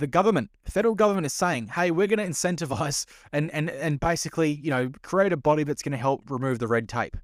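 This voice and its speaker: This man has an Australian accent and a fairly high pitch. He talks very fast, with lively intonation and hardly any pauses. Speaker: podcast host. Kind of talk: casual commentary. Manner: sarcastic.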